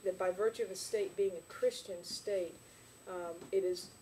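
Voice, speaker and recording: A woman talks at a medium pitch in a monotone, flat intonation. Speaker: Sunday school teacher. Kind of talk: lecture. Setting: church classroom. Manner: fast.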